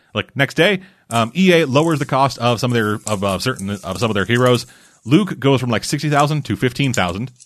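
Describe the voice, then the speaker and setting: Fairly quick and lively in intonation, a man talks at a medium pitch with an ordinary speaking voice. The background is quiet. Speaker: podcast host. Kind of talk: casual chat.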